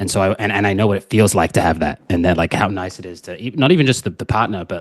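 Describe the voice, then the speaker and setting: Using a New Zealand accent, a man speaks at a very fast pace in a fairly low voice with ordinary pitch variation. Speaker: dating coach. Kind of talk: podcast interview.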